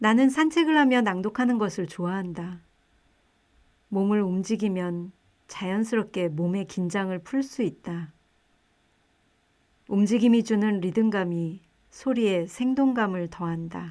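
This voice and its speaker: The speech moves at a very slow pace, broken by long, frequent pauses. The recording is very clean, with a silent background. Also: woman, medium pitch for a woman. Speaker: book narrator. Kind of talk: audiobook reading.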